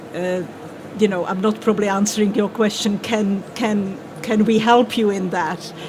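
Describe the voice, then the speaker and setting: A woman with a Czech accent, fairly slow and monotone, flat in intonation, against noticeable background noise. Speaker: translation panelist. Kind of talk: panel discussion.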